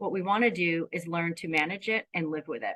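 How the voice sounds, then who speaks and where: A woman with an American accent talks at a fairly quick pace in a bright, sharp tone. The sound is dry and close with no echo. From US East Coast. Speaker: grief therapist. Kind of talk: presentation to online panel.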